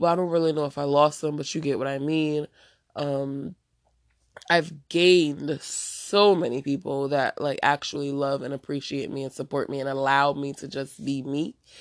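In an American accent, a woman speaks with an animated tone and a very deep, low pitch. Her pace is moderate, and the background is quiet. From New Jersey. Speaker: podcast host. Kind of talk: casual monologue. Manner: occasional stutter.

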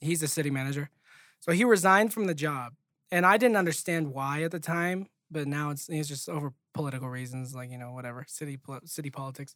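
A man with a fairly high pitch and ordinary pitch variation speaks at a fairly quick pace on a very clean recording with a silent background. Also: dry, close sound with no echo. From California, East Bay. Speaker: podcast co-host. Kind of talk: casual chat.

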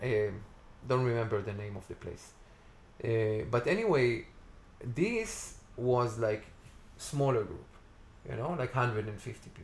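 In an Israeli accent, a man talks at a very slow pace with long, frequent pauses. His loudness swings widely, while his pitch varies in an ordinary way. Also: medium pitch for a man. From Israel, Tiberias. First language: Hebrew. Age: 40s. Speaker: festival organizer. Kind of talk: casual interview. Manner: halting.

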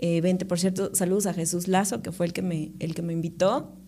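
In a Veracruz Mexican accent, a woman speaks at a fairly quick pace with a medium pitch and fairly even intonation. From Mexico, Córdoba, Veracruz. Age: 30s. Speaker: radio presenter and reporter. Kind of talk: casual interview chat.

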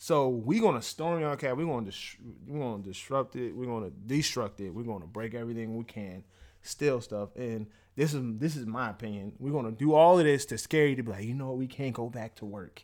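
A man speaks at a fairly quick pace in an ordinary speaking voice. His pitch is medium, with ordinary pitch variation. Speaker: podcast host. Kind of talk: casual chat. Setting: recording a podcast episode. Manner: casual, rambling.

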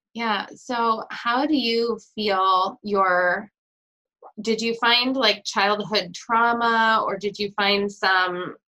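A woman speaks very slowly with an American accent and fairly even intonation. Her voice is fairly high, with a bright, sharp tone. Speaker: podcast host. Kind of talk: casual interview.

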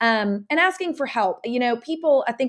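A woman talks at a fairly quick pace in a Southern US accent. Her intonation is lively. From US South, Nashville, Tennessee. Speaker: entertaining and lifestyle entrepreneur. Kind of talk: casual interview chat.

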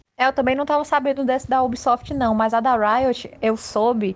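A woman's voice with fairly even intonation. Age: 30s. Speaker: illustrator. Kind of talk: casual chat.

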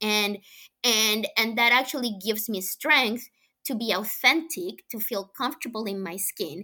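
Recorded very cleanly against a silent background, a woman with a Colombian accent speaks at a fairly slow pace in a fairly high voice. Her tone is bright and sharp, her pitch varies in an ordinary way, and her loudness swings widely. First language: Spanish. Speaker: venture capital investor. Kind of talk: interview. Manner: halting.

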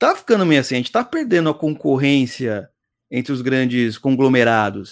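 At a moderate pace, a man talks in an ordinary speaking voice with medium pitch. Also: ordinary pitch variation. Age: 30s. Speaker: podcast host. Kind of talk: casual chat. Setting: live stream.

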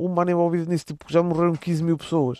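A man's high-pitched, monotone, flat delivery in a dry, close sound with no echo. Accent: European Portuguese. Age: 20s. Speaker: podcaster. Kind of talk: casual solo monologue. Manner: casual, slangy.

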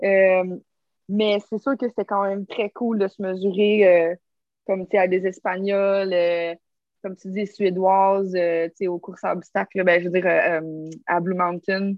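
A woman with a Quebec accent speaks at a medium pitch, very slowly and in a monotone with flat intonation, leaving long, frequent pauses. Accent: Québécois French. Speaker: stuntwoman and obstacle course racer. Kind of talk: casual interview.

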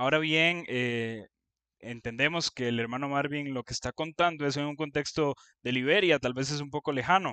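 A man's bright, sharp voice, fairly high in pitch, with ordinary pitch variation, a moderate pace, and a dry, close sound with no echo over a quiet background. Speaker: church youth leader. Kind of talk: scripted narration. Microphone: original audio had problems.

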